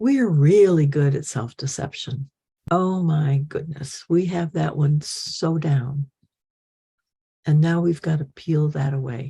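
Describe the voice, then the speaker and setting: A woman's very deep, low voice, dark and mellow in tone and somewhat breathy, with ordinary pitch variation and a very slow pace. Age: 80s+. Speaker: spiritual teacher. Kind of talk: talk to followers.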